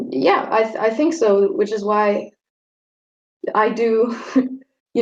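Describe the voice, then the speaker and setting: A woman speaks in a German accent. Her pitch variation is ordinary. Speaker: vegetarian debate guest. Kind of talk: friendly debate. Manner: halting, repeats words.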